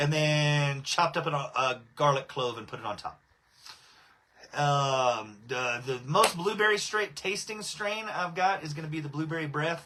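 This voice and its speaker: Speaking fairly slowly with a Texan accent, a man has a fairly high pitch and a bright, sharp tone. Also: lively intonation. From Southeast Texas. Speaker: cannabis breeder and livestream host. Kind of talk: casual livestream chat. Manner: casual, filler-heavy.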